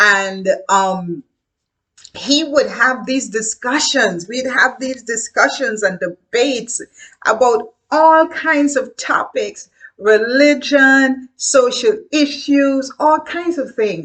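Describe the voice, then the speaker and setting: A woman with a Guyanese accent speaks very slowly at a high pitch with lively intonation. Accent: Guyanese Caribbean English. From Caribbean (Guyana). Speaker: educator. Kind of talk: casual talk to camera. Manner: halting.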